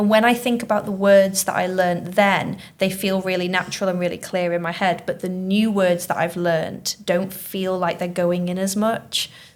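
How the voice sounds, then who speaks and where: In a very clean recording with a silent background, a woman with a Manchester accent speaks at a moderate pace and medium pitch, in monotone, flat intonation, with hardly any pauses. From Manchester, northern England. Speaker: teacher hosting school podcast. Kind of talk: casual chat.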